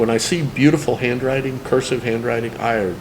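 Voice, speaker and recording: With audible room echo and noticeable background noise, a man of medium pitch talks at a moderate pace, his pitch varying in an ordinary way. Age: 60s. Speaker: cartoonist. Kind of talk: testimony.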